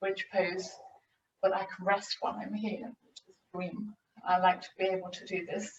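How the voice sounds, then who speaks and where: Her tone is relaxed. The woman's voice is somewhat breathy. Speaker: physiotherapist and yoga teacher. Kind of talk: tutorial. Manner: slowing, relaxed pace.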